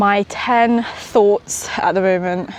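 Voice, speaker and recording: Pitch varies in an ordinary way, with noticeable background noise behind the voice. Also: woman. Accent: West Midlands. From England, West Midlands (small town near Birmingham). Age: 20s. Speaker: entrepreneur vlogger. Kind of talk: casual vlog. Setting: outdoors, walking in park. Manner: casual, hesitant with fillers.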